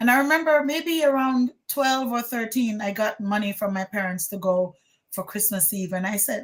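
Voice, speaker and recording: A woman talks at a moderate pace with a fairly high pitch. Her voice is somewhat breathy. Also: lively intonation. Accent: Jamaican. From Jamaica, Saint Ann. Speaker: former teacher. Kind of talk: testimony interview.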